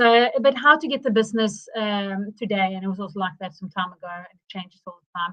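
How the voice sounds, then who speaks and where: A woman with a fairly high pitch speaks quickly and with lively intonation. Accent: South African. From South Africa. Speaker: marketing consultant. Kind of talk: live webinar presentation. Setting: livestream. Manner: halting, many fillers.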